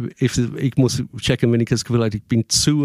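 Fairly quick, fairly even speech in an English accent, recorded very cleanly against a silent background, dry and close with no echo. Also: man. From England. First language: English (speaking German). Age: 50s. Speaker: musician and performer. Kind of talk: casual interview.

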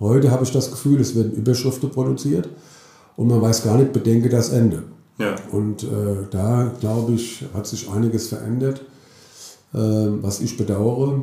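A man speaks in a dark, mellow tone that is somewhat breathy. Long, frequent pauses break up his speech amid audible room echo. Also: medium pitch for a man, fairly even intonation, moderate pace. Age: 50s. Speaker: mayor. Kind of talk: interview.

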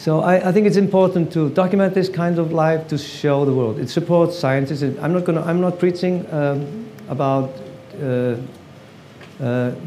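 The speaker has an Icelandic accent and ordinary pitch variation. Noticeable background noise and audible room echo fill the clip. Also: man. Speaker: photographer. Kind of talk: artist talk at exhibition. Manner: halting.

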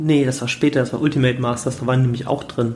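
A man at a very fast pace. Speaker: podcast host on trading card investing. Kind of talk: casual solo podcast talk. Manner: energetic.

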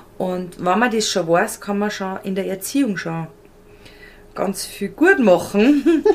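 Noticeable background noise sits under a woman's medium-pitched voice with ordinary pitch variation. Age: 30s. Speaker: style and colour consultant. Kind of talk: casual interview.

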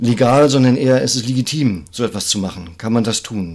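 This man has a normal speaking voice at a medium pitch. His pace is moderate and his pitch varies in an ordinary way. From northern Germany, Greifswald. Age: 50s. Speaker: climate activist and visual artist. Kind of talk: interview conversation. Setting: office.

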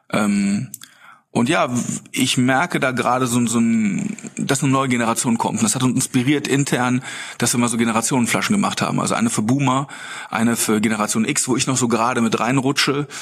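A man talks at a fairly quick pace and medium pitch, with very even loudness and ordinary pitch variation. Noticeable background noise sits behind him. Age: 40s. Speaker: beverage company co-founder. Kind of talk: casual interview. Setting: podcast bus at a conference.

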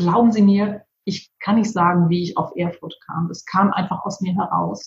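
A woman's ordinary speaking voice, medium in pitch, with ordinary pitch variation and moderate speed. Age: 50s. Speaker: PR agency owner and author. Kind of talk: interview.

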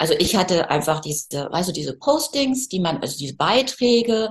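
A somewhat breathy woman with a medium pitch talks at a fairly quick pace. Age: 50s. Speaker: photographer. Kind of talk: casual interview. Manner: animated.

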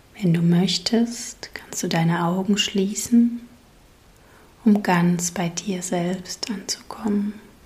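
The tone is calm and the pace very slow. Noticeable background noise sits behind it. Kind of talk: guided meditation. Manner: slow, soothing, gently paced with long pauses; calm, soft-spoken, warmly inviting.

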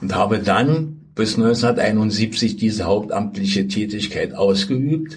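A man's fairly low voice at a very slow pace, hardly any pauses, over noticeable background noise. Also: ordinary pitch variation. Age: 80s+. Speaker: former football club official. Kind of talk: interview.

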